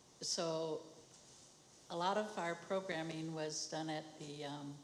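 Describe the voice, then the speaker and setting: A woman's very deep, low voice at a very slow pace, with audible room echo and noticeable background noise. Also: fairly even intonation. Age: 70s. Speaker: traditional medicine program worker. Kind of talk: personal testimony.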